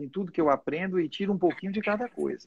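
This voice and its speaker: A man with a dark, mellow tone and ordinary pitch variation speaks over a quiet background. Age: 60s. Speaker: doctor. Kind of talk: casual chat.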